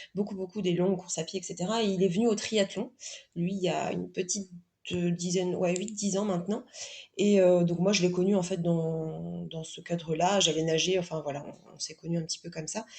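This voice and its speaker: A woman speaks at a fairly quick pace in a fairly low, somewhat breathy voice. Her tone is dark and mellow, with fairly even intonation. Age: 30s. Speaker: guest sharing pregnancy and sport experience. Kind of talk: podcast interview testimony. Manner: halting, many fillers and repetitions.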